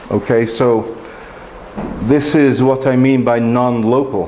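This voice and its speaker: With audible room echo and noticeable background noise, a man speaks fairly slowly at a medium pitch. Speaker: mathematics professor. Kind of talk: lecture.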